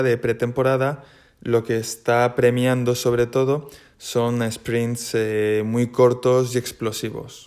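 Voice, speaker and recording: Delivery comes at a fairly slow pace with monotone, flat intonation. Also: man, very clean recording, silent background. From Spain, Valencia. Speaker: triathlete. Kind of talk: casual monologue.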